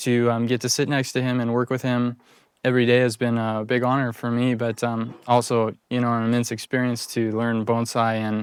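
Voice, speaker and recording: A man talks in a monotone with flat intonation. The recording is very clean, with a silent background. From Colorado, US. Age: 20s. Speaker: bonsai apprentice. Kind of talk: interview testimony. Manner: hesitant, many fillers.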